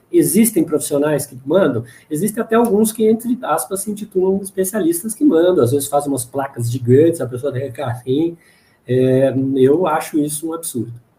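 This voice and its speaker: Delivered at a fairly quick pace, the voice has a dark, mellow tone and lively intonation. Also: man, fairly high pitch for a man. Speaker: dentist and lecturer. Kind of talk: Q&A after a lecture. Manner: fast.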